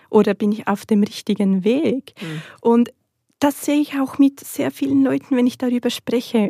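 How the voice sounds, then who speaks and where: The voice has a dark, mellow tone and lively intonation. The sound is dry and close, with no echo. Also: woman. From Switzerland. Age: 30s. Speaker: natural cosmetics entrepreneur. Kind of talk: interview.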